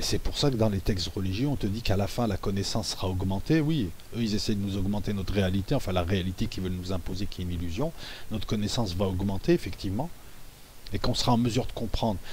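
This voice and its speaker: Delivered at a very fast clip, the speech shows ordinary pitch variation. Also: man, fairly low pitch for a man. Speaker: YouTuber discussing conspiracy theories. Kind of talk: monologue video commentary. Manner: soft-spoken; halting.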